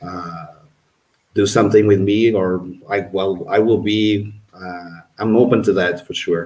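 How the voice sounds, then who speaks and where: A man with a Portuguese accent, fairly low pitch, fairly even intonation, a fairly slow pace, long, frequent pauses, and big swings in loudness. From Portugal, Porto. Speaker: archaeologist and tour guide, community member. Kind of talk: casual livestream chat.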